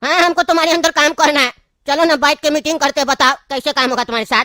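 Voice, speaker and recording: A cartoonish character voice pitched high. It races along at a very fast pace. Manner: brusque, commanding.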